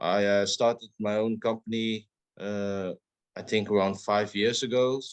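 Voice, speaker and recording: Fairly slow, monotone, flat delivery from a man with a fairly low pitch and a southern Dutch accent, over a quiet background. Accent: Dutch, southern soft G. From southern Netherlands. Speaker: podcast co-host. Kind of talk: casual chat.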